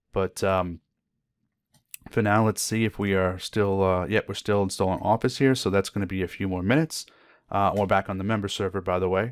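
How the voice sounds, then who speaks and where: Fairly quick speech with fairly even intonation comes through a very clean recording with a silent background and a dry, close sound with no echo. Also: man, fairly low pitch for a man. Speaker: IT certification trainer. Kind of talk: tutorial. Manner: fast; hesitant with filler words.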